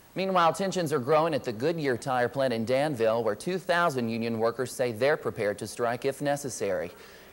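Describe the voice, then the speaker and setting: Noticeable background noise sits behind this man. He speaks with lively intonation at a fairly quick pace, with hardly any pauses. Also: medium pitch for a man. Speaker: news anchor and reporter intern. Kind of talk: TV news anchor read.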